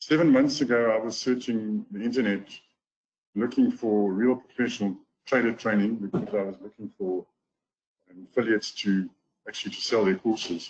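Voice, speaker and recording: A man with a South African accent speaks at a moderate pace and medium pitch, with ordinary pitch variation, big swings in loudness and long, frequent pauses. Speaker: golf teacher and trading course affiliate. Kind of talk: webinar testimonial talk.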